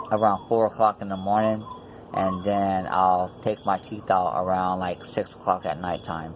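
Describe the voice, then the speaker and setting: A man's very deep, low voice at a fairly slow pace, monotone and flat, over noticeable background noise. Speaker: denture wearer vlogger. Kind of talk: casual vlog. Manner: hesitant, many fillers.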